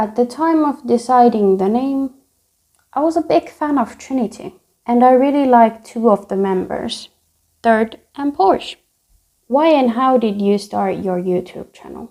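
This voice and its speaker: Speaking with a Finnish accent, a woman uses a high pitch, a dark, mellow tone and lively intonation at a fairly slow pace. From Finland. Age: 20s. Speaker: youtuber. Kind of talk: casual Q&A.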